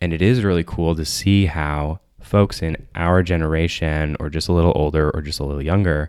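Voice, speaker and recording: A man with an American accent has a very deep, low pitch. He talks at a moderate pace with ordinary pitch variation. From Michigan, US. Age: 20s. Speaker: therapist. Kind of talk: casual chat.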